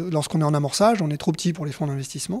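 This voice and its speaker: A man's dark, mellow tone comes across with a quiet background. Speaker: entrepreneur. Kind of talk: interview. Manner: halting. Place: shop. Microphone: handheld.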